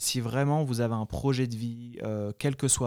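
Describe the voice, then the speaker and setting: Captured in a very clean recording with a silent background and a dry, close sound with no echo, a man's dark, mellow voice sits at medium pitch. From France (Paris, then Guadeloupe from age 14). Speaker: e-commerce entrepreneur. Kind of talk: interview. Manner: halting with frequent repetitions.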